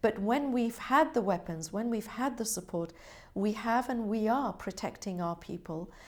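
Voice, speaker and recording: A woman talks with a British accent. Her pitch varies in an ordinary way. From Britain. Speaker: government representative. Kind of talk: interview. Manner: formal.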